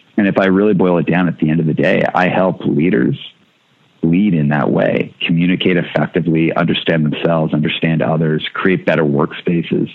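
A man speaks fairly quickly at a very deep, low pitch with ordinary pitch variation and very even loudness. Noticeable background noise is present. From Canada. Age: 40s. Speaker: hardcore musician and record label owner. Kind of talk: interview conversation.

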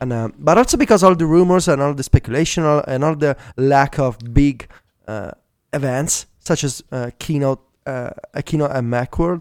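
Here a man speaks with an Italian accent. His pitch is fairly high, with ordinary pitch variation. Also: moderate pace. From Italy. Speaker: tech podcast co-host. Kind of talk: casual chat. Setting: remote call.

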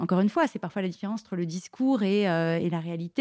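A woman's fairly low, dark, mellow voice at a very fast pace with ordinary pitch variation, dry and close with no echo, on a very clean recording with a silent background. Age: 40s. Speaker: journalist. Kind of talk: casual chat. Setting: studio. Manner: halting.

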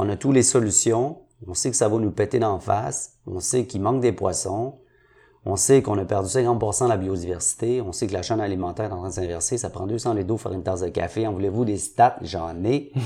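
A man with a fairly low, dark, mellow voice talks at a fairly quick pace, somewhat breathy. His pitch variation is ordinary, and the recording is very clean with a silent background. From Montreal, Quebec (Saint-Henri). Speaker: entrepreneur. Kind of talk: interview.

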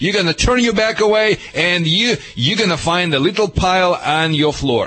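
There is noticeable noise behind the speaker. His intonation is lively, and he is a man. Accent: Russian. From Russia. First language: Russian. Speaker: dog trainer. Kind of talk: radio call-in advice. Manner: animated.

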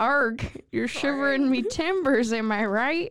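Using a cartoonish character voice, a woman speaks high-pitched at a fairly slow pace. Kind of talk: cartoonish pirate speech. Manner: playful, exaggerated.

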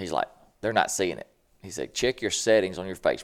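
A man with a Southern US accent and vocal fry is heard on a very clean recording with a silent background. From US South (Mississippi). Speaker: internet comedian and turkey hunter. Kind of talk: casual chat.

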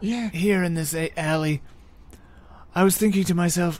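Using a put-on character voice, the speaker talks at a moderate pace with a middle pitch. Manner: fancy, theatrical, genteel.

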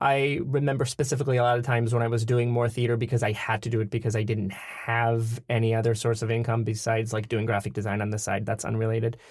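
This man speaks very fast in a flat monotone, somewhat breathy. His loudness stays very even throughout. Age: 30s. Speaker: theater performer. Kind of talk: casual chat. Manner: playful, jokey.

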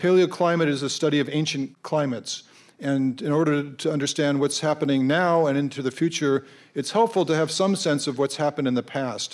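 A man with an American accent speaks in an unremarkable speaking voice, fairly high in pitch with ordinary pitch variation. His loudness stays very even, and the recording is very clean with a silent background. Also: fairly quick pace. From Colorado. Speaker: science education policy director. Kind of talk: panel discussion. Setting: stage with audience at a high school.

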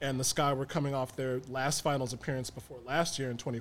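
At a fairly quick pace, a man with an American accent talks in a normal speaking voice of medium pitch. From Chicago South Side (South Shore). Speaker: sports podcaster. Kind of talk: casual chat. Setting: studio.

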